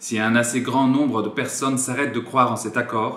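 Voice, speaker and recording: A man with a slight Polish accent speaks at a fairly slow pace and a medium pitch. His intonation is monotone and flat. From France. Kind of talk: political appeal to camera.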